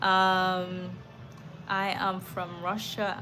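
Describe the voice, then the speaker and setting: A woman with an American accent talks with audible room echo. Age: 40s. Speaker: life coach. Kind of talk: live stream talk answering chat. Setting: live stream. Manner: animated.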